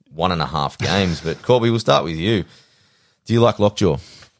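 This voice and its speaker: A man talks in an Australian accent, his pitch varying in an ordinary way. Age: 30s. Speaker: podcast host. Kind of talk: casual chat.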